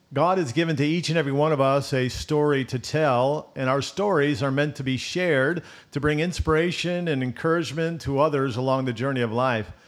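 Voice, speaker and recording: With an unremarkable speaking voice, a man talks at a fairly quick pace and fairly high pitch, using ordinary pitch variation and hardly any pauses. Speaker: pastor, podcast host. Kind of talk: interview, conversational.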